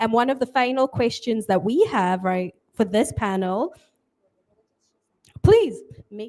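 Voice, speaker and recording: Lively intonation colors speech delivered at a moderate pace. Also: woman. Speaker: panel moderator. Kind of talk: panel discussion.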